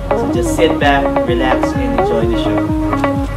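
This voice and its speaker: A man at a fairly slow pace over loud background music. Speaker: magician and party host. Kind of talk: stage show introduction to audience. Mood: friendly, inviting.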